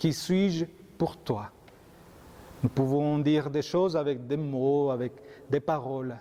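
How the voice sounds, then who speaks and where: Speaking very slowly with a Colombian accent, a man has a fairly high pitch, a dark, mellow tone, fairly even intonation, and big swings in loudness. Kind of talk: homily.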